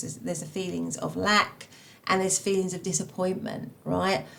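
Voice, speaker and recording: A woman in a Cockney accent at a fairly quick pace, with noticeable background noise. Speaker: tarot reader. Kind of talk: tarot reading. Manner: halting, many fillers.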